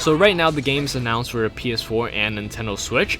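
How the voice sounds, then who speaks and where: Very fast talk from a man, with music in the background. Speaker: gaming YouTuber. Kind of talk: casual video commentary. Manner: halting, stuttering.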